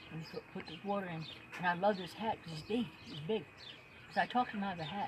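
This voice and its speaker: The speech comes at a very fast pace. There is noticeable background noise. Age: 70s. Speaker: storyteller, former carnival worker. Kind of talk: casual storytelling monologue. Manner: halting, with frequent fillers.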